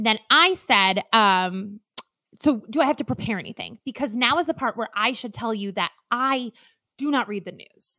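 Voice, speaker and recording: A woman with an American accent speaks at a moderate pace in a fairly high pitch, her tone bright, sharp and animated. Her intonation is lively, and the sound is dry and close with no echo. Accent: Midwestern accent when nervous. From Alaska. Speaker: podcast co-host. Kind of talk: casual chat.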